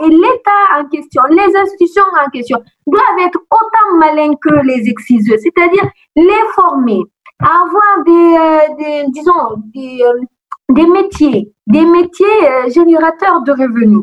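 This woman's voice sits at an extremely high pitch and swings very widely. She speaks at a very slow pace. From Guinea. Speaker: student activist. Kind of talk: interview. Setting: phone call.

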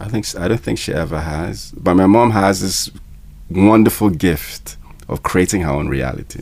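Noticeable background noise sits behind a man speaking at a moderate pace. His very deep, low pitch shows ordinary variation. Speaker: musician and filmmaker. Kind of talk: casual interview. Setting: studio.

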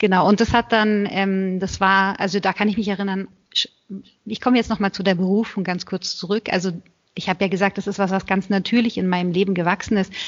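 A woman's medium-pitched voice, flat and monotone, at a fairly quick pace. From Germany, Berlin. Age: 30s. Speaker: Benedictine nun. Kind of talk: interview.

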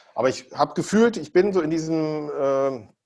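A man with a fairly high pitch. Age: 40s. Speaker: TV and event presenter, entrepreneur. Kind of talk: casual interview. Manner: hesitant, many fillers and repetitions.

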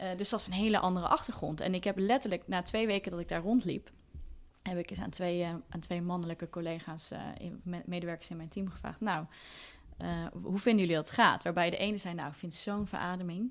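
At a fairly quick pace, a woman talks in a plain, everyday voice pitched fairly low. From Netherlands, Deventer. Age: 30s. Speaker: communications consultant and inclusion advocate. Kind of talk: casual interview. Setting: kitchen table at home.

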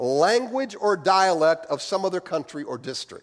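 With a Midwestern American accent, a man speaks at a high pitch and makes very wide pitch swings. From US Midwest. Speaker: pastor. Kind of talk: sermon. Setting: church.

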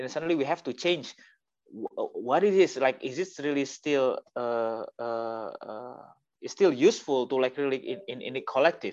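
This man talks with an Indonesian accent, his loudness swinging widely. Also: moderate pace. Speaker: artist collective member. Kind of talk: panel discussion. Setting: video call.

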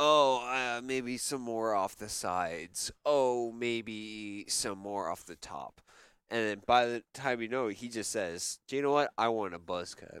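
At a fairly slow pace, a man with an ordinary speaking voice talks at medium pitch with ordinary pitch variation. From Canada. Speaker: news show host. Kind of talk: comedic mock news show, casual chat. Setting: studio.

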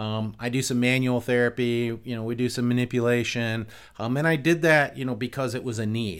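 Over a very clean recording with a silent background, a man with an ordinary speaking voice talks fairly quickly at a medium pitch. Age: 50s. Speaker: physical therapist and clinic owner. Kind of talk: casual chat.

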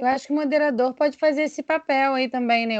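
A woman's very fast speech with fairly even intonation. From interior of Rio de Janeiro state, Brazil. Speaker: speech therapist. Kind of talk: casual chat.

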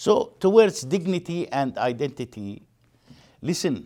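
In a very clean recording with a silent background, a man with an Arabic accent speaks at a fairly slow pace, his pitch swinging very widely. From East Jerusalem, Palestinian. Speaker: human rights activist. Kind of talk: lecture. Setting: stage with audience.

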